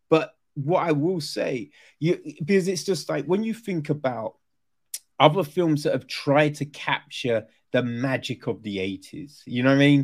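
A man with a southern English accent speaks at a fairly slow pace in a fairly high voice with lively intonation, recorded very cleanly against a silent background. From southern England. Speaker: podcast host. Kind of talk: casual interview.

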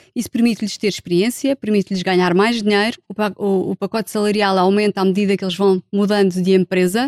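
A woman speaks at a moderate pace, her pitch medium. She has an unremarkable speaking voice. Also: dry, close sound with no echo. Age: 40s. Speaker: sociologist and HR specialist. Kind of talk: casual chat.

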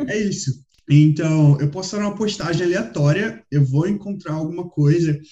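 A man with a Rio de Janeiro accent speaks in a high pitch with a dark, mellow tone. His pace is moderate and his pitch variation ordinary. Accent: Rio de Janeiro Brazilian Portuguese. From Brazil, Rio de Janeiro. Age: 20s. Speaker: podcast co-host. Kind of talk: casual chat.

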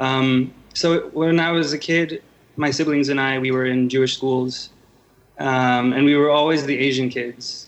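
Speaking at a fairly slow pace with an American accent, a man uses a medium-pitched voice and a monotone, flat intonation. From Los Angeles, US. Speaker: editor in chief, journalist. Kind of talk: interview. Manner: halting, many fillers and repeats.

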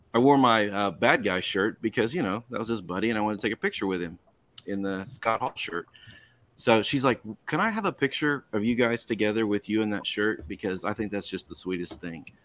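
Speaking at a fairly quick pace with ordinary pitch variation, this is an unremarkable speaking voice, captured in a very clean recording with a silent background. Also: man, fairly low pitch for a man. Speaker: podcast co-host. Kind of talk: casual banter. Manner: joking, profane.

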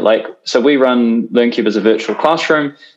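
Here is an ordinary speaking voice from a man. He keeps to a medium pitch and moves at a fairly quick pace. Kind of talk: panel discussion.

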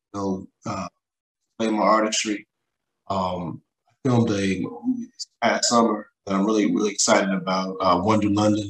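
A man with an American accent speaks at a moderate pace in a fairly low pitch, his monotone, flat delivery broken by long, frequent pauses. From West Texas. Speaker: music artist and producer. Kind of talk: casual interview. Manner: halting.

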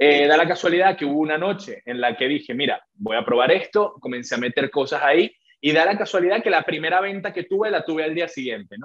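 A man speaks at a fairly high pitch with lively intonation and a fairly quick pace. It is a normal speaking voice. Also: hardly any pauses. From Venezuela. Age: 20s. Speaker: entrepreneur and trader. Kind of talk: interview.

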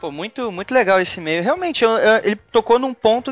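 A man with a Carioca accent, speaking at a fairly quick pace. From Rio de Janeiro. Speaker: podcast host. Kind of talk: casual chat.

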